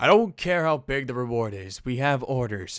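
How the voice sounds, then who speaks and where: Putting on a gruff character voice, a man speaks at a medium pitch and moderate pace with lively intonation on a very clean recording with a silent background. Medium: read story. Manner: stern, commanding.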